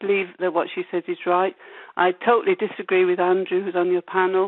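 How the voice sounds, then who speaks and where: At a fairly quick pace, a woman talks in a medium pitch with a monotone, flat intonation. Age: 70s. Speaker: caller. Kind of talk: phone-in call.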